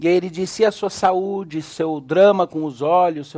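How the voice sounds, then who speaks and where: A man is speaking. His pace is fairly slow. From Brazil, Belo Horizonte. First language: English (speaking Portuguese). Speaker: pastor, theology lecturer. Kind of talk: sermon. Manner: animated storytelling.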